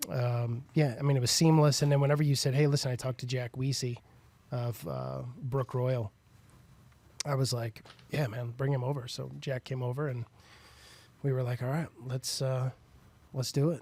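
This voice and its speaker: Somewhat breathy and dark, mellow in tone, a man's medium-pitched voice moves at a moderate pace with fairly even intonation and long, frequent pauses. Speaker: rock singer and songwriter. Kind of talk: casual podcast chat.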